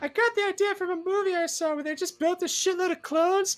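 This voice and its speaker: In a squeaky, put-on character voice with an extremely high pitch, a woman speaks at a fairly quick pace. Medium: actual play. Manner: flippant, scheming.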